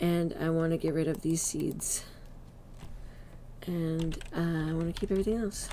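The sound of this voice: Fairly even intonation and a dark, mellow tone come through at a moderate pace. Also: woman, low pitch for a woman.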